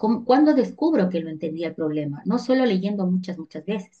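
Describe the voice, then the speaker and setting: The woman's voice sounds somewhat breathy. Its tone is dark and mellow. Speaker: teacher. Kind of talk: online lecture.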